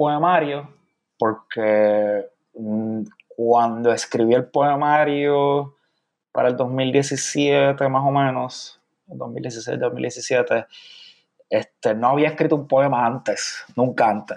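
Very slowly, a man talks with ordinary variation in pitch. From Puerto Rico, San Juan. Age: 30s. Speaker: poet. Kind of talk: interview.

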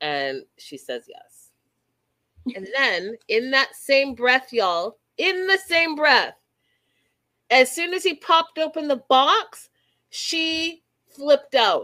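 In a raised, projected voice with a bright, sharp tone, a high-pitched woman speaks at a very slow pace, with long, frequent pauses, very wide pitch swings and big swings in loudness. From Canada. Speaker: reality TV podcast host. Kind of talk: casual chat. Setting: video call. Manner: animated.

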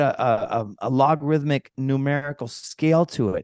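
A man with an American accent speaks at a fairly slow pace over a quiet background. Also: dry, close sound with no echo. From Minnesota. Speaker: permaculture farm founder. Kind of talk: interview.

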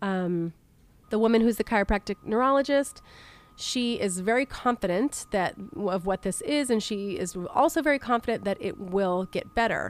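A woman's unremarkable speaking voice, fairly high, with lively intonation at a moderate pace, in a dry, close sound with no echo. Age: 40s. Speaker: podcast host. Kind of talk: personal health monologue.

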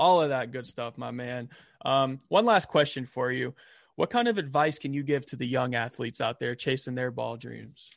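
Here a man speaks with a Southern US accent at a medium pitch. His pace is moderate, and the background is quiet. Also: ordinary pitch variation. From US South, Albany, Georgia. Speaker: podcast host. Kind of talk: casual interview.

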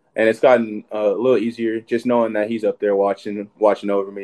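With an American accent, a man talks fairly quickly in a dark, mellow tone at a fairly low pitch, his intonation monotone and flat. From Texas (Sherman, north Texas). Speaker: college football player. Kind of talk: casual interview.

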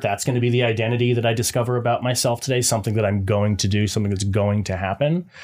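In a very clean recording with a silent background, a man speaks at a fairly quick pace. He has a medium pitch and an unremarkable speaking voice. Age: 20s. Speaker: podcast co-host. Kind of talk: casual chat. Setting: home studio, streamed live.

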